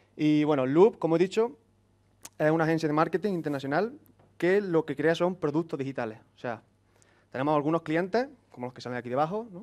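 In an Andalusian accent, a man speaks at a fairly quick pace. His pitch is fairly high, with ordinary variation. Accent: Andalusian (Córdoba). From Andalusia, Córdoba (Spain); Andalusia, Spain. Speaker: software engineer, conference speaker; conference speaker. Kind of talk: conference talk. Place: classroom.

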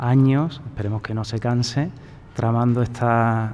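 A man talks in a monotone, flat intonation. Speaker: debate moderator. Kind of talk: moderator's opening remarks at a panel. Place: hall.

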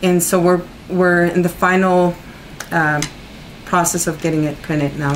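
Monotone, flat intonation at a moderate pace, with light background noise. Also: woman. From Mexico City. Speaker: poet. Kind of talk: interview. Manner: halting. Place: home room. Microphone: camera far.

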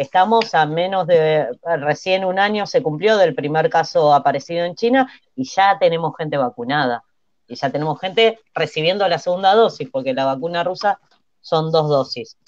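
Someone with an Argentine accent speaks at a moderate pace, the sound dry with no echo and light background noise underneath. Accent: Argentine Spanish (Rioplatense). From Argentina. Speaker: TV panelist. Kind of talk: casual chat. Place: home room. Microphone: earbuds.

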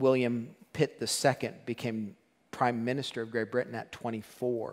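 At a fairly slow pace and a medium pitch, a man speaks in a monotone, flat intonation against a quiet background. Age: 50s. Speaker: pastor. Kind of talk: sermon. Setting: church. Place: church. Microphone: headset.

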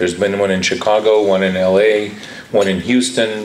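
Over noticeable background noise, a man with a Cuban-American accent talks at a moderate pace in a fairly low pitch. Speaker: architect and professor. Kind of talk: conference speech. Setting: conference hall with live audience.

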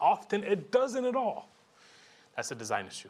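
The man's speech moves at a fairly quick pace. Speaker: education program funder; conference presenter. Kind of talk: conference talk. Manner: fast; animated. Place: hall.

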